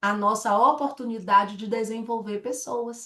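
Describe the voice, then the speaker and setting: A woman speaks with a Bahian accent at a fairly high pitch. Music plays in the background. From Salvador, Bahia, Brazil. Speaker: direct sales director. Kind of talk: sales presentation. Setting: online presentation with slides and chat.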